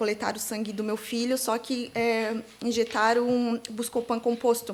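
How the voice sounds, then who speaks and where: This is a woman speaking. Her pitch is high. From Santa Catarina, Brazil (Itajaí/Navegantes). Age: 30s. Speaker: digital influencer, bereaved mother. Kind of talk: interview testimony. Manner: halting, many fillers.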